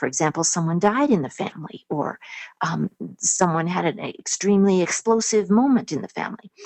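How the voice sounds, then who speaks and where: Lively intonation runs through a woman's unremarkable speaking voice. She talks at a moderate pace and medium pitch. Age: 60s. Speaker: homeschool speaker and author. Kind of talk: webinar interview. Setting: webinar.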